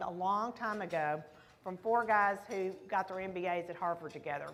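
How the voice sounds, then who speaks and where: A woman's medium-pitched voice with a warm tone and a Texas accent, fairly quick pace, ordinary pitch variation, and audible room echo. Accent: Texas accent, full strength. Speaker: business founder, keynote speaker. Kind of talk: keynote speech. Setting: stage at luncheon with audience. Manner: warm, conversational.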